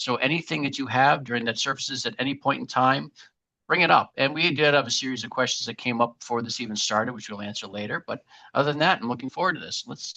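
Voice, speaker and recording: Talking very fast with a Boston accent, a man uses a medium pitch with ordinary variation. His loudness swings widely. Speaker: marketing agency webinar host. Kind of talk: live webinar presentation. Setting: live webinar.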